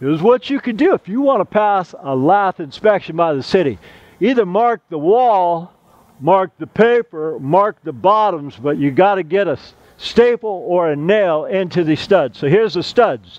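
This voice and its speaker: The man's voice sits at a high pitch and moves with lively intonation in a dry sound with no echo. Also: moderate pace. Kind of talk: tutorial. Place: garden.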